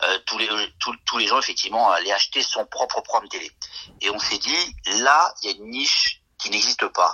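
At a fairly quick pace, a man speaks with long, frequent pauses. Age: 50s. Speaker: entrepreneur. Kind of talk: interview.

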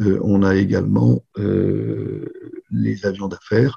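The man's voice sits at a fairly low pitch with vocal fry. His tone is dark and mellow. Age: 60s. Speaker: business owner. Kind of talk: interview. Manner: halting.

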